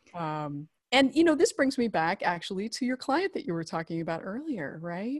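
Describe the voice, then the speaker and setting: A woman with an American accent speaks at a moderate pace and medium pitch, somewhat breathy, with very wide pitch swings, in a very clean, silent, dry and close recording with no echo. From US, rural Idaho. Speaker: marriage and family therapist, former journalist. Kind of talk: casual interview.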